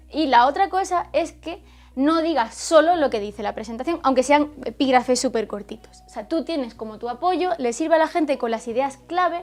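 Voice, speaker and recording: Over noticeable background noise, a woman talks with hardly any pauses in a high pitch and lively intonation. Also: moderate pace. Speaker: teacher and YouTuber. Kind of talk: tutorial.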